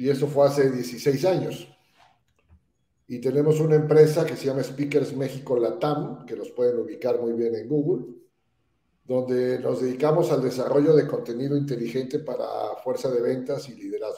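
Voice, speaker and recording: A somewhat breathy man's voice, fairly high-pitched, at a moderate pace with fairly even intonation and audible room echo. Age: 60s. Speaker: entrepreneur and speakers bureau founder. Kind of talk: podcast interview. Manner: hesitant fillers.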